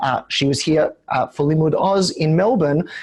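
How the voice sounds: Croaky and at a moderate pace, the voice has a slightly mellow tone and ordinary pitch variation. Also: man, fairly high pitch for a man.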